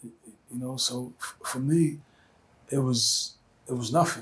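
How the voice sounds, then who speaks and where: Over noticeable background noise, a man with a Brooklyn accent talks fairly slowly at a medium pitch with fairly even intonation. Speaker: rapper. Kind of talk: interview answer.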